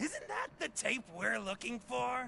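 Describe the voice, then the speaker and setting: Using a put-on character voice with a theatrical tone, a man speaks at a fairly slow pace over clear background noise. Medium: video game. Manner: theatrical, taunting.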